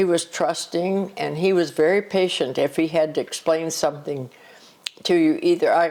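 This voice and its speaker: Noticeable background noise accompanies a woman with a fairly low pitch. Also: moderate pace, very even loudness. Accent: American. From US Midwest, southern Illinois. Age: 90s. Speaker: grandmother interviewed by family. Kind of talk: family interview, life stories. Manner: halting.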